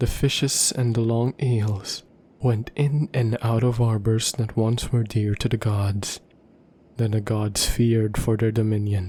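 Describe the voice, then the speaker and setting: Soft-spoken and somewhat breathy, a man talks at a fairly slow pace in a dark, mellow tone with monotone, flat intonation. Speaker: ASMR roleplay performer. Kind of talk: bedtime story reading.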